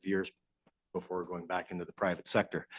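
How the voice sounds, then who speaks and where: Over a quiet background, a man with a very deep, low pitch talks at a very fast pace, the sound dry and close with no echo. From Southern Ontario. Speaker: asset management consultant. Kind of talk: presentation to council. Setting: council chamber. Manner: loud.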